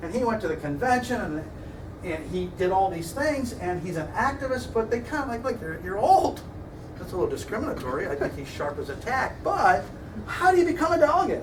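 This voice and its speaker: Amid noticeable background noise and audible room echo, a man with a Midwestern American accent speaks fairly quickly at an extremely high pitch, his voice making very wide pitch swings. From US Midwest. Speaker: political science lecturer. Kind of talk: lecture. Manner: fast.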